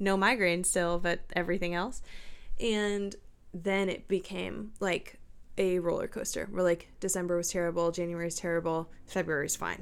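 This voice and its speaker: At a moderate pace, a woman with medium pitch speaks in a plain, everyday voice with fairly even intonation. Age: 20s. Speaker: podcast co-host. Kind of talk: casual chat. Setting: home office.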